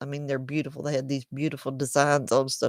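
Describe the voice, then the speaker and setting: A woman drawls in a strong Southern US accent. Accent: strong Southern country. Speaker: crochet YouTuber. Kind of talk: casual chat. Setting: livestream at home. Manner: slow, drawling.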